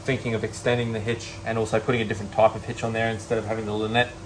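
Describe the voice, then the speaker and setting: Over noticeable background noise, a man speaks with an Australian accent at a medium pitch. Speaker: car restoration YouTuber. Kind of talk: casual vlog talk to camera. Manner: halting, many fillers.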